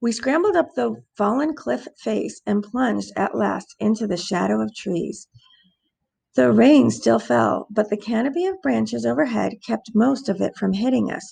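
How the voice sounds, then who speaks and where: A woman puts on a raspy character voice at a medium pitch, speaking at a moderate pace. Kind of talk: first-person fantasy narration. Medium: read story.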